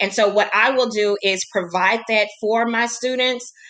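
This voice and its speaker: This woman talks at a fairly slow pace with a fairly high pitch. Her tone is bright and sharp, and her intonation stays flat and monotone. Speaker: teacher. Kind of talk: recorded lesson presentation for colleagues.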